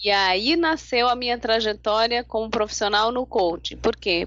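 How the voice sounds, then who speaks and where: A woman talks in a fairly high voice with ordinary pitch variation. Noticeable background noise can be heard. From Brazil, São Paulo. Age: 40s. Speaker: life coach and lawyer. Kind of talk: interview.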